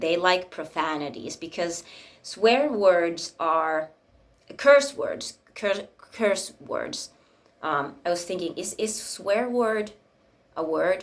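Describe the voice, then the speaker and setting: At a very slow pace, a woman with a Finnish accent speaks at a medium pitch with lively intonation. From Finland. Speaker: spiritual YouTuber. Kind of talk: casual monologue. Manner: rambling, hesitant with many fillers.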